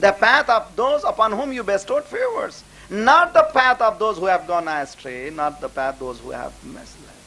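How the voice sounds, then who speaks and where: A man speaks in a raised, projected voice at a high pitch, bright and sharp in tone, with very wide pitch swings. Big swings in loudness mark his moderate pace. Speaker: Islamic scholar. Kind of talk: religious lecture.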